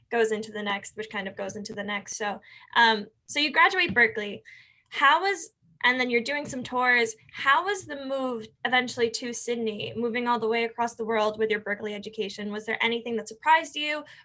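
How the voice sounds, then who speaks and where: This woman has a plain, everyday voice with an American accent, fairly high pitch, ordinary pitch variation, and a fairly quick pace. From New York. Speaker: student club interviewer. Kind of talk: interview.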